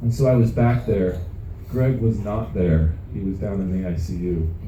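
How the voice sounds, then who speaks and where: Someone with an American accent speaks at a moderate pace with ordinary pitch variation. The room echo is audible and background noise is noticeable. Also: man, very deep, low pitch for a man. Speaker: company founder. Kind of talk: motivational talk. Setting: stage with audience on a cruise ship. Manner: stutter.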